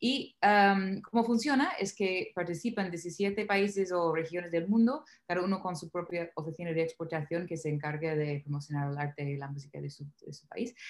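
With an English accent and a fairly low pitch, a woman speaks at a moderate pace with ordinary pitch variation, hardly any pauses, and big swings in loudness. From US South, Nashville. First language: English (speaking Spanish). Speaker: singer. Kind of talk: interview.

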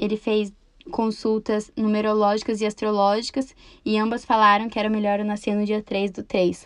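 Her pitch is fairly high and her intonation monotone and flat. This woman speaks at a moderate pace. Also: quiet background. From Brazil, Campo Mourão, Paraná. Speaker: podcaster. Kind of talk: casual monologue.

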